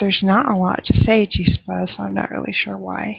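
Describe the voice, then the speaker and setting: Soft-spoken, a woman talks at a fairly slow pace. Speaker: livestream host. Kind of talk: casual chat.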